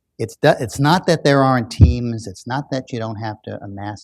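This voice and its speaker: On a very clean recording with a silent background, a man speaks at a medium pitch with ordinary pitch variation. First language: German. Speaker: author and business school professor. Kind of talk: public book discussion Q&A. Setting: public event with audience. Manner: halting, many fillers and restarts.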